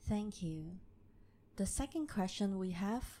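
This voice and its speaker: Woman at medium pitch with a dark, mellow tone. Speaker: session moderator reading audience questions. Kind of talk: reading out questions.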